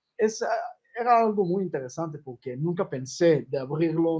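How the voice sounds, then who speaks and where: With lively intonation, a man speaks at a fairly slow pace in a fairly high pitch. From Israel, Jerusalem. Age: 30s. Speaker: rabbi and humanitarian organization founder. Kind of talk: interview.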